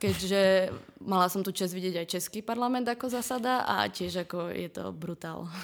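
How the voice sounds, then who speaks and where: A woman talks at a moderate pace and medium pitch with ordinary pitch variation. Hers is an unremarkable speaking voice. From eastern Slovakia, Prešov. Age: 20s. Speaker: marketing student. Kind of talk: casual interview.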